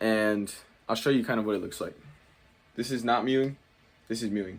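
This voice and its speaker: A man with an ordinary speaking voice, medium-pitched, at a fairly quick pace with fairly even intonation. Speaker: fitness YouTuber. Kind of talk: casual tutorial. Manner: casual, filler-heavy.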